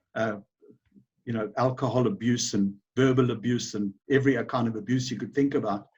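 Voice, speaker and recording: A man's somewhat breathy, medium-pitched voice in a South African accent, fairly quick in pace, with fairly even intonation. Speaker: business owner. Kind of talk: interview. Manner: halting, many fillers.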